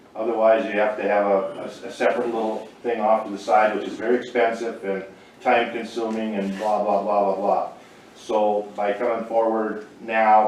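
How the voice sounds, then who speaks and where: Monotone, flat speech comes through audible room echo and noticeable background noise. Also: man. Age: 60s. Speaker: small-town council member. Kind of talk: public meeting testimony. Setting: county commission meeting room. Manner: halting, many repetitions.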